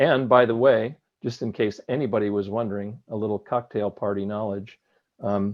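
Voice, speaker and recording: A man speaks in a normal speaking voice at a moderate pace. His pitch is fairly low, and his intonation is fairly even. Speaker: stamp collector presenting a talk. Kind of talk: Q&A discussion.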